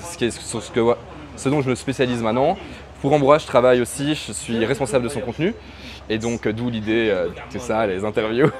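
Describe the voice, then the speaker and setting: Noticeable background noise sits behind a man with a Belgian accent whose intonation is fairly even. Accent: pronounced Belgian French. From Belgium, Brussels. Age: 30s. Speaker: freelance digital marketer. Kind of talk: interview. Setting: in person, Chiang Mai. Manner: hesitant, many fillers.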